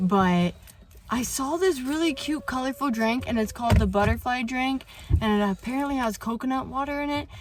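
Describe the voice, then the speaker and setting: A woman speaks fairly quickly in a high voice with ordinary pitch variation and an upbeat tone. Noticeable background noise runs behind her. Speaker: vlogger, mother. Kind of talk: casual talk to camera.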